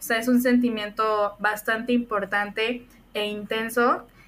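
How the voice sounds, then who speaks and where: At a very slow pace, a woman speaks with fairly even intonation and a fairly high pitch. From Mexico, Puebla. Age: 20s. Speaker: podcast co-host. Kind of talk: casual chat.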